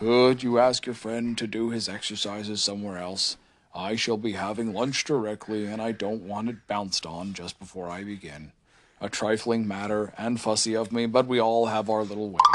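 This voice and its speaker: A man puts on a character voice, drawling at a fairly low pitch. His pace is moderate. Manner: gloomy, drawling, sarcastic.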